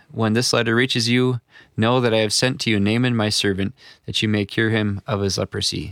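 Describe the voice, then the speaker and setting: A man with an Upper Midwestern American accent, medium pitch, fairly even intonation and a fairly quick pace, in a very clean, dry, close recording with a silent background and no echo. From US upper Midwest. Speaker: pastor. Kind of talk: reading aloud.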